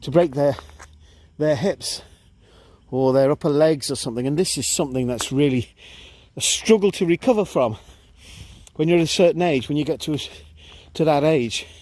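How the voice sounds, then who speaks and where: A man speaks at a moderate pace with ordinary pitch variation and long, frequent pauses. The recording is very clean with a silent background. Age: 60s. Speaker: vlogger. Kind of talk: casual talk to camera while walking. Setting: outdoors.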